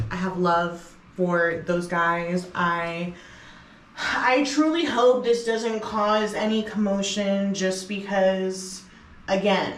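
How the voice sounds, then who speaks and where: A woman at a very slow pace, medium pitch, with an American accent and ordinary pitch variation, amid noticeable background noise and audible room echo. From US East Coast. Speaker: music producer and DJ, vlogger. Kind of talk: casual vlog talk to camera. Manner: loud, expressive.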